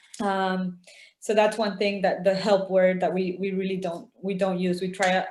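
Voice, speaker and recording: Speaking at a moderate pace, a woman keeps a medium pitch and fairly even intonation. Audible room echo is present. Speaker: outreach worker with exploited women. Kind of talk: webinar interview. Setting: video call.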